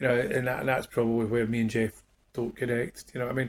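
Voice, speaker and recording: A somewhat breathy voice at a very fast pace, with a Glaswegian accent. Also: man. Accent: Glaswegian Scottish. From Scotland, Glasgow. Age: 50s. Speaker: musician. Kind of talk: casual interview chat. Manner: halting, many repetitions and fillers.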